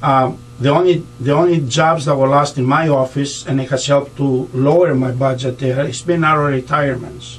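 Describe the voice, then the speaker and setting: Speaking with a Greek accent, a man uses a fairly high pitch and fairly even intonation at a moderate pace with hardly any pauses. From Greece. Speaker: county treasurer and political candidate; candidate. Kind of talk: radio interview. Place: studio.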